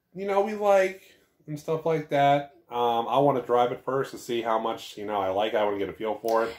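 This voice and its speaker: Over a quiet background, the voice moves at a fairly quick pace with very wide pitch swings. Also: man. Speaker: vlogger. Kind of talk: casual vlog chat. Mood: playful, joking. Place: home room. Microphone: webcam.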